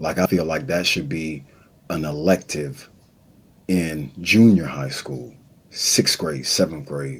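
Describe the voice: Slow and extremely low in pitch, the man's voice has a husky, rough edge and ordinary pitch variation.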